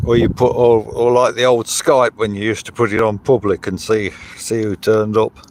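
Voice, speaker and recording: A man speaks at a fairly quick pace and medium pitch, his intonation monotone and flat. The sound is dry and close with no echo, though there is noticeable background noise. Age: 70s. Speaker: livestreamer. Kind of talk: casual live stream chat. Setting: outdoors by a river. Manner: halting, with fillers.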